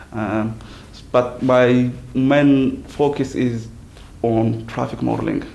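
A man speaks at a very slow pace with long, frequent pauses against noticeable background noise. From Niger. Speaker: mathematics lecturer. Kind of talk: interview.

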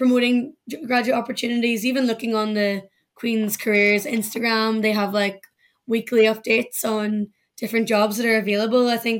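A woman with a Northern Irish accent, fairly high pitch and moderate pace, on a very clean recording with a silent background. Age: 20s. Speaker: law graduate, legal professional. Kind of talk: casual interview.

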